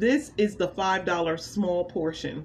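A woman's voice comes through somewhat breathy, with ordinary pitch variation. Light background noise is present. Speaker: food reviewer vlogger. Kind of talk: casual vlog chat. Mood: pleased, enthusiastic. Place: home room. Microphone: phone near.

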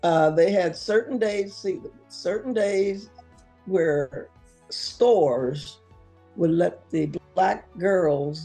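Faint music plays behind the voice. A woman talks at a very slow pace. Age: 80s+. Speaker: retired teacher. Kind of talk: interview answer. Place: home room. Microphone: camera far.

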